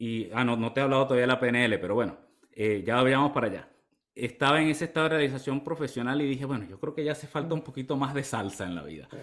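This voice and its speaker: A man's very fast delivery at a medium pitch, with ordinary pitch variation. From Venezuela, eastern (Maturín, Monagas). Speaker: health coach. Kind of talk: casual interview chat.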